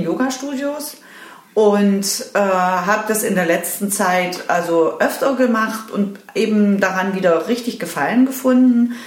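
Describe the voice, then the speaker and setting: With audible room echo and noticeable background noise, a woman talks at a fairly slow pace, her medium pitch showing ordinary variation. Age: 50s. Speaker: yoga teacher trainee. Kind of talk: interview. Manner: halting, many fillers.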